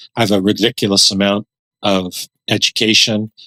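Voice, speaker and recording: A man's fairly low-pitched voice at a moderate pace, bright and sharp in tone, dry and close with no echo, on a very clean recording with a silent background. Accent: Canadian. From Canada, Dutch immigrant family. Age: 60s. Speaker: author and former pastor. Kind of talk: interview. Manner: reflective, halting with repetitions.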